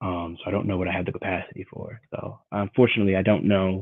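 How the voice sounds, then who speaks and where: At a fairly quick pace, a man with a fairly low pitch speaks in a calm tone. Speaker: qigong and meditation teacher. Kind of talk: guided meditation. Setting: live stream. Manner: soft-spoken.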